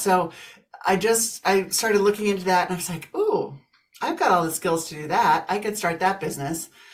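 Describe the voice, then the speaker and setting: The delivery moves at a fairly quick pace with ordinary pitch variation. Noticeable background noise sits behind the voice. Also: woman. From US Midwest, Kansas. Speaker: business coach and author. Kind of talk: interview, casual chat.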